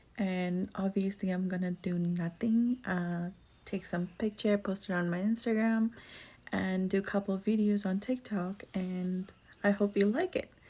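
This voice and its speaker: On a very clean recording with a silent background, a woman speaks at medium pitch with a dark, mellow, somewhat breathy tone, fairly even intonation and a fairly slow pace. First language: not English. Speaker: beauty vlogger. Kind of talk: makeup tutorial vlog. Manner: casual, with hesitations.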